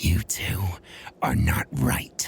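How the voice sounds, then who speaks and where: A man whispers in a put-on character voice. The sound is raspy. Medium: read story. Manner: unsettling, ominous.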